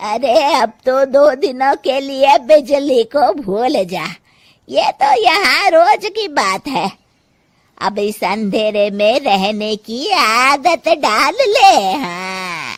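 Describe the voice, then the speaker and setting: A woman's cartoonish character voice, high-pitched and very slow, with very wide pitch swings. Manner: scolding, blunt.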